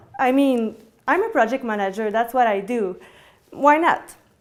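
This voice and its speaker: A high-pitched woman with a French-Canadian accent at a moderate pace. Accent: French-Canadian accent, noticeable. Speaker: indie game producer. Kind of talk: talk to audience. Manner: halting.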